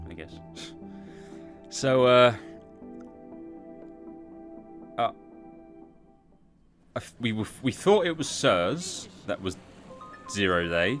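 Faint background music, long and frequent pauses, and big swings in loudness. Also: man. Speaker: game streamer. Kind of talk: casual gameplay commentary. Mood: wry, joking. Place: home room. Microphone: studio mic.

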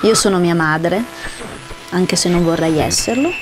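Music plays in the background as a woman speaks at a moderate pace and medium pitch, with ordinary pitch variation and audible room echo. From northern Italy, Parma. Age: 30s. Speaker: actress. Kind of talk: self-presentation.

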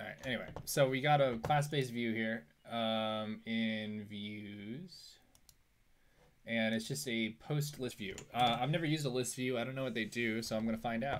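A man talks at a moderate pace with ordinary pitch variation. Light background noise sits under his voice. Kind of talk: live coding commentary. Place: home room.

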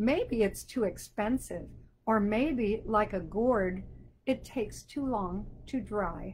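Speaking at a very slow pace, a woman with a fairly high pitch shows ordinary pitch variation and vocal fry. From Wisconsin (Sheboygan). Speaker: children's book author. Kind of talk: children's show on video call.

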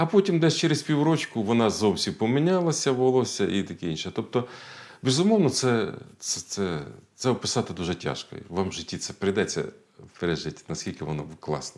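Over a quiet background, a man speaks at a fairly quick pace and medium pitch, his voice showing vocal fry and very wide pitch swings. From central Ukraine, Kirovohrad region; Ukraine. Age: 50s. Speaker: politician. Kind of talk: interview. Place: studio. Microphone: lapel.

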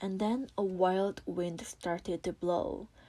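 In a Korean accent, a woman speaks at a very slow pace with a medium pitch and a dark, mellow tone. The recording is very clean, and the background is silent. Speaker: English learner reading aloud. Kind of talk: audiobook reading.

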